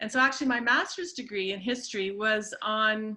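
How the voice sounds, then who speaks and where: Her pitch fairly high, the woman speaks at a moderate pace. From Canada, born in Peru. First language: Spanish. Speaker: historian. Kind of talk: presentation. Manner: hesitant with many fillers.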